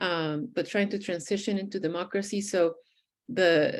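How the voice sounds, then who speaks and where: A woman with a Spanish accent and a fairly low voice, fairly slow, with ordinary pitch variation and a quiet background. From Venezuela (Caracas). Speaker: poet. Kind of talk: interview.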